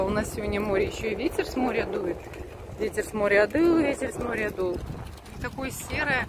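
Spoken at a fairly quick pace, the voice sounds dry with no echo, though loud background noise runs underneath. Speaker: mother vlogger. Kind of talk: casual vlog chat. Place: waterside.

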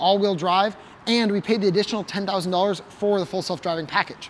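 Light background noise sits behind a man speaking at a high pitch. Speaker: car channel host. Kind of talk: presenter explainer. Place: garage.

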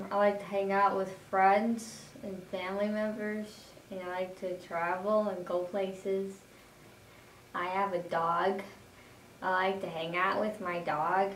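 A woman speaks fairly slowly in a flat, monotone way at a medium pitch, with an American accent. Light background noise and audible room echo are present. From Madison, Wisconsin area. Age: 20s. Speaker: job training student. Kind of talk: self-introduction video; video resume self-introduction. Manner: halting, repeats words.

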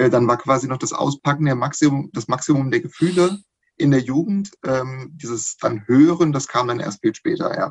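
This man speaks at a moderate pace in a somewhat breathy voice. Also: ordinary pitch variation, quiet background. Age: 40s. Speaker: podcast guest, hobby fan; podcast guest. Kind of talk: casual chat. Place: home room. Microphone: video call.

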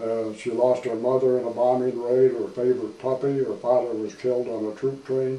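A man at a moderate pace amid audible room echo. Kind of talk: interview answer. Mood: reflective, calm. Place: office. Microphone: camera far.

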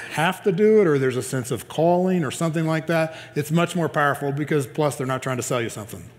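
This man speaks very fast. His pitch shifts in an ordinary way. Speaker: pastor. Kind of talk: sermon. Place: church. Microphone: headset.

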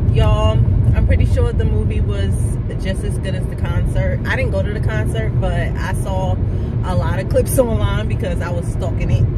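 A woman speaks over loud background noise, her voice dry with no echo. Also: moderate pace. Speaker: vlogger. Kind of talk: casual talk to camera. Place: car. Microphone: phone near.

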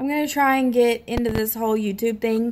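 A woman with a Southern US accent speaks at a fairly high pitch with fairly even intonation. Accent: Southern US, noticeable. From US South (Tennessee, Mississippi). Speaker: YouTuber. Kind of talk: casual vlog reading questions. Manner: casual, slightly hesitant. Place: home room. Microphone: phone near.

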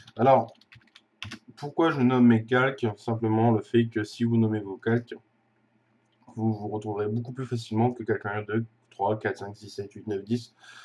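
At a moderate pace, a man speaks in a monotone, flat way at medium pitch, leaving long, frequent pauses. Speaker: video tutorial maker. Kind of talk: tutorial. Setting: screen recording voiceover. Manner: hesitant, filler words.

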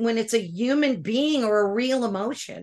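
Against a quiet background, a woman talks at a fairly slow pace with lively intonation and an animated tone. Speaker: podcast host. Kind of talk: interview. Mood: animated, emotional. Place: home room. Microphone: video call.

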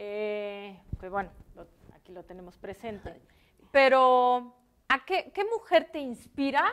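Her voice high for a woman, she speaks at a very slow pace, with very wide pitch swings and big swings in loudness. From Mexico. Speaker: interviewer. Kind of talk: interview. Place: studio.

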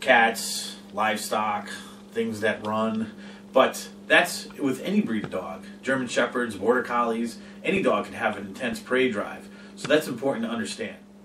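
A man speaks at a moderate pace with audible room echo. Music plays in the background. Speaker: dog trainer. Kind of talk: informational vlog talk. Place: home room. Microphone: camera far.

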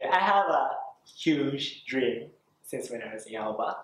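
A man with a Japanese accent speaks at a fairly slow pace with audible room echo. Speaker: voice actor. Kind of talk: interview. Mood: warm, earnest, animated. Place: classroom.

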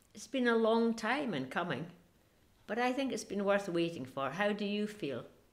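A woman of medium pitch, with vocal fry, speaks at a moderate pace while her pitch swings very widely. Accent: Scottish. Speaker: interviewer. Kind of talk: interview questions.

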